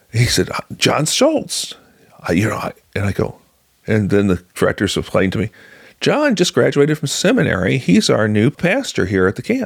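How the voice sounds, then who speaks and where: A man's American-accented voice at a moderate pace, dry and close with no echo. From US Midwest, rural Illinois. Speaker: journalist. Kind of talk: interview testimony. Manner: halting, many fillers.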